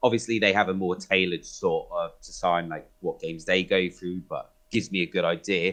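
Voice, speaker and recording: A man with a British accent, at a fairly quick pace with hardly any pauses. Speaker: community admin for a gaming group. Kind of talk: podcast interview. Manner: loud.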